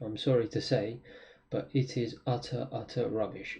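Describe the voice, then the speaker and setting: A man with a London accent speaks at a fairly slow pace and medium pitch, with ordinary pitch variation and noticeable background noise. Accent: British (London). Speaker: trader. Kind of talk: trading tutorial. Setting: wearing a mask on camera. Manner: frequent fillers (um, uh).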